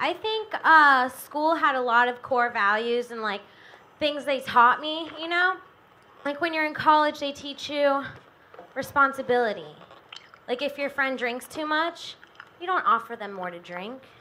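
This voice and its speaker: A woman projects a raised, high-pitched voice with lively intonation and big swings in loudness. She keeps a moderate pace broken by long, frequent pauses. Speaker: open-mic comedian. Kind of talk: stand-up; stand-up comedy set. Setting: stage with audience. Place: stage. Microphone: handheld.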